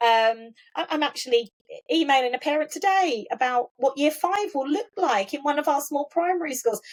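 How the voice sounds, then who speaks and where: Here is a woman with an Essex accent and a high pitch. She talks at a fairly quick pace with lively intonation. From Essex, England (Colchester). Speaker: school trust chief executive. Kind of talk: interview conversation. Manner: repetitive false starts.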